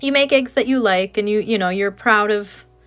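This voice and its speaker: Animated female voice with a Canadian accent and ordinary pitch variation, over background music. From Canada, Alberta. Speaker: egg decorating artist streamer. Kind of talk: live craft demonstration.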